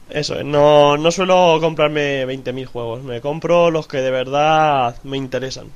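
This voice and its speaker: A man's normal speaking voice, fairly high in pitch, at a fairly slow pace. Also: hardly any pauses. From Madrid, Spain. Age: 20s. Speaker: YouTuber. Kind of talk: casual chat.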